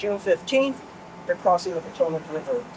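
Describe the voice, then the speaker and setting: Lively intonation from a female speaker against noticeable background noise. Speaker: tour guide. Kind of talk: guided tour talk.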